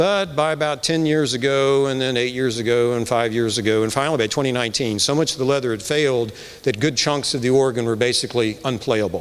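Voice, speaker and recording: A man with an American accent at medium pitch, very fast pace and hardly any pauses, with audible room echo. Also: ordinary pitch variation. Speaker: church committee chair. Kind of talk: speech introducing a concert. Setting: church with live audience.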